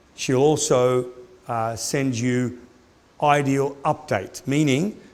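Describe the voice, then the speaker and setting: A man's medium-pitched voice, with ordinary pitch variation, carries audible room echo. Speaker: orthodontics lecturer. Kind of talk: lecture.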